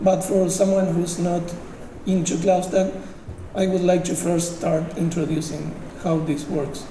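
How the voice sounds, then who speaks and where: A man with a Uruguayan accent and a high pitch speaks fairly slowly in a monotone, flat way, with audible room echo and noticeable background noise. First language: Spanish. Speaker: software engineer, conference speaker. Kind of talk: technical conference talk. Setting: conference stage with audience. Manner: halting, many fillers.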